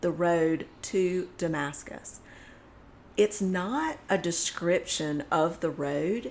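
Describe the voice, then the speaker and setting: At a very slow pace, a woman talks with a fairly low pitch and ordinary pitch variation. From US South. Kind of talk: casual faith discussion.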